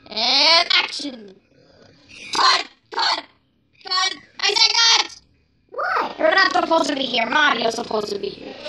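A cartoonish character voice at an extremely high pitch swings very widely, moving at a moderate pace with long, frequent pauses. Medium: puppet.

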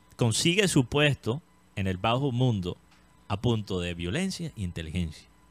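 A man speaks at a fairly slow pace with lively intonation. The sound is dry with no echo. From Colombia. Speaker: entertainment show host. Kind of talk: casual chat. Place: studio. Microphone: studio mic.

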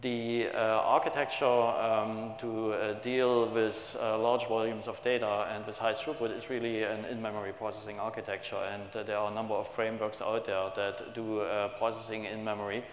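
The speech moves at a moderate pace with hardly any pauses and monotone, flat intonation. Room echo is audible, along with light background noise. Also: man. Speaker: conference presenter. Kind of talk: technical conference talk. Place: hall.

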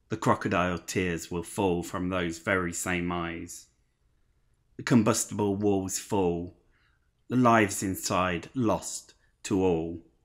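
A man with a very deep, low pitch, a very slow pace and long, frequent pauses against a quiet background. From Leicester, England. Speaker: spoken word poet. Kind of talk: performed spoken word poem, rhythmic rhyming delivery. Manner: impassioned, angry, driving cadence; emphatic, sardonic, rhyme-driven. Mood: angry, sombre social protest.

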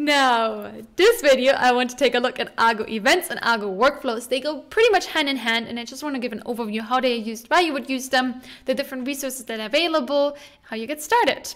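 Over a quiet background, a woman with a high voice talks at a very fast pace, with ordinary pitch variation and big swings in loudness. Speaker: tech educator. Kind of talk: casual tutorial vlog talk. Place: home room. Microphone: studio mic.

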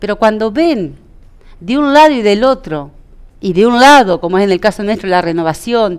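Her pitch medium, a woman talks at a fairly quick pace with very wide pitch swings. The background is quiet. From Entre Ríos, Argentina. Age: 40s. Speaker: local party politician. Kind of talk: interview. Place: studio.

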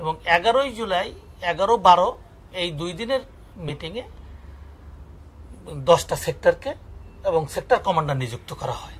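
The pitch swings very widely. Loudness rises and falls a great deal too. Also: man, high pitch for a man. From Khulna, Bangladesh; Bangladesh. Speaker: retired army major, war veteran; writer and researcher. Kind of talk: interview answer. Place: home room.

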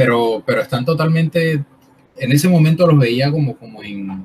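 Over light background noise, the speaker moves at a moderate pace with lively intonation. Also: man. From Colombian Caribbean coast (Barranquilla); Colombia. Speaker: artist and workshop leader. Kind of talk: interview. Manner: halting, many fillers. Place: home room. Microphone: video call.

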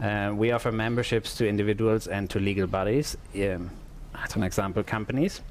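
A man with a fairly low pitch talks at a moderate pace, the sound dry with no echo and light background noise behind him. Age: 30s. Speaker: network community association chairman; conference host. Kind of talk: conference presentation. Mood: friendly, light humour. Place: studio.

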